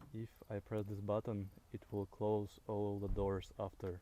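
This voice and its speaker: With a non-native accent, a man talks at a fairly slow pace in a fairly low, dark and mellow voice. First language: not English. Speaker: car video creator. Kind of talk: casual car walkaround commentary. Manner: halting, many fillers.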